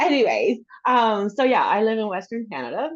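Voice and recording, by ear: At a moderate pace, a woman speaks in a fairly high pitch.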